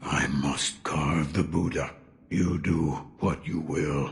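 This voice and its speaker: A man's growling, put-on character voice, very deep and low, at a very slow pace with fairly even intonation and very even loudness. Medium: video game. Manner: gruff, cryptic, measured.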